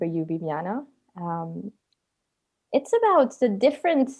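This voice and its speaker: The speaker has a French accent. The background is quiet. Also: woman. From France, Paris, Italian family. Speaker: podcast co-host. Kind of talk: podcast interview.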